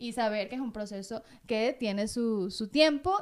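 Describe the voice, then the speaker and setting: Noticeable background noise surrounds this woman. Her fairly high voice has lively intonation. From Venezuela. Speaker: TV presenter and communicator. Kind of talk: casual interview chat.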